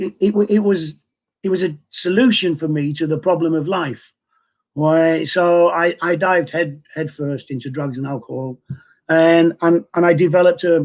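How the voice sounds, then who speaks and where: In a Mancunian accent, a man speaks at a high pitch and moderate pace with ordinary pitch variation. The recording is very clean, with a silent background. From northern England, Manchester. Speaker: person in recovery from addiction. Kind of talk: testimony. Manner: halting, many repeated words.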